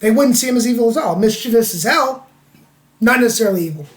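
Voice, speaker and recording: With an American accent, the voice varies its pitch in an ordinary way. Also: man. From US South. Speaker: podcast co-host. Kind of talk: casual chat.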